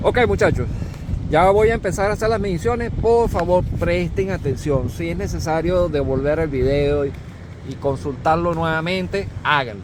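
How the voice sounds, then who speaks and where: A man with a fairly high pitch, an animated tone, and lively intonation at a moderate pace, with noticeable background noise and audible room echo. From Venezuela. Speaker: corrosion engineer, instructor. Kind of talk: tutorial.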